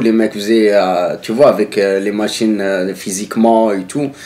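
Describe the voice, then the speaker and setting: A man's voice is heard against noticeable background noise. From northern France. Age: 30s. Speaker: former striking factory worker. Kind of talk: casual interview. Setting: filmed interview.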